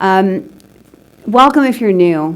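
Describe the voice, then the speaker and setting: Using a normal speaking voice, a woman talks at a fairly slow pace with lively intonation. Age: 60s. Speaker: recovering alcoholic speaker. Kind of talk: testimony.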